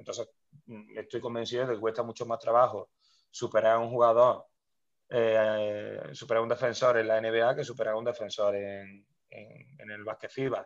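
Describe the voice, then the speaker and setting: Loudness swings widely as a man speaks at a moderate pace. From Spain, Córdoba (Andalusia). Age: 30s. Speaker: basketball coach. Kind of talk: interview. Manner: halting, many repetitions.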